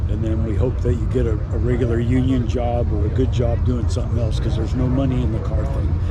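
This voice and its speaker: Very fast delivery with hardly any pauses, lively intonation and very even loudness, amid noticeable background noise and audible room echo. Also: man, very deep, low pitch for a man. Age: 80s+. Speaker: car builder, shop owner. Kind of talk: casual chat.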